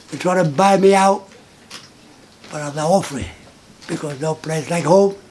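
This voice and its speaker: The man's voice sits high in pitch. He keeps a moderate pace and fairly even intonation. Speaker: long-time resident. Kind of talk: interview.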